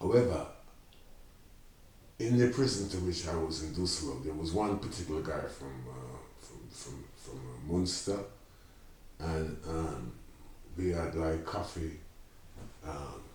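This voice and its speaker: A man's very deep, low voice at a fairly slow pace, with big swings in loudness, long, frequent pauses and noticeable background noise. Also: lively intonation. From Jamaica. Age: 70s. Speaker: community project founder. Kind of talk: interview answer.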